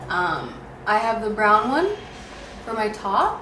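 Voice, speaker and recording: Fairly high pitch from a woman, with ordinary pitch variation, noticeable background noise and audible room echo. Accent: Canadian. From Canada, Ontario. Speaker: beauty vlogger. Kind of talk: casual makeup tutorial chat.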